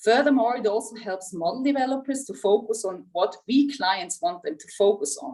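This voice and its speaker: Speaking with a Swiss German accent, a woman uses a fairly high, somewhat breathy voice at a moderate pace with very wide pitch swings. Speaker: insurance executive. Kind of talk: prepared speech. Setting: video call.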